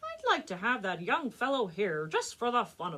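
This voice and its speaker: Speaking at a moderate pace, a woman performs a put-on character voice. It is pitched high. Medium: read story. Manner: regal, authoritative.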